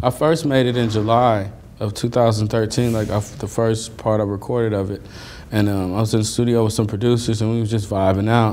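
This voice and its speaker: A man's medium-pitched voice at a moderate pace, fairly even in intonation, with faint music in the background. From Los Angeles, US. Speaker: rapper and singer; interview guest. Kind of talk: interview. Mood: relaxed, humble storytelling. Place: studio.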